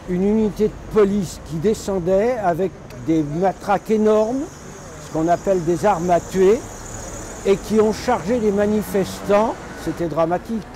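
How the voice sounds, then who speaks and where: Speaking at a fairly slow pace with long, frequent pauses, a man with a high voice shows ordinary pitch variation and big swings in loudness over noticeable background noise. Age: 80s+. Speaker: retired activist and former mayor. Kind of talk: interview testimony. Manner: halting.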